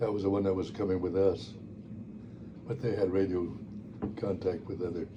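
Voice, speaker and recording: In a room with audible echo, a man with a very deep, low pitch talks at a fairly quick pace in a monotone, flat delivery, leaving long, frequent pauses. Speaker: war veteran. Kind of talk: oral history interview. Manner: halting.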